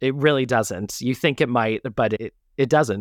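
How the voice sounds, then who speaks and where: A man with an ordinary speaking voice talks at a moderate pace and medium pitch with ordinary pitch variation, in a very clean, dry, close recording with no echo and a silent background. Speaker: musical theater actor. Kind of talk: casual interview. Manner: laughs often.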